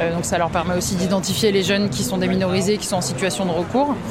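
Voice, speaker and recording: A woman speaks at a medium pitch. Audible room echo and noticeable background noise surround her voice. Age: 20s. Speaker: volunteer with aid association. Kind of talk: field interview.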